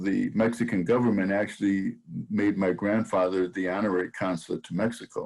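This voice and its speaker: With an American accent, a man talks at a fairly quick pace in a fairly low voice. His intonation stays monotone and flat. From Saint Paul, Minnesota. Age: 70s. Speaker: sports historian and author. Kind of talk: interview. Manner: halting, frequent repetitions.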